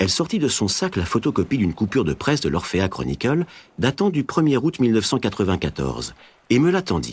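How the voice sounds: Heard here is a natural reading voice.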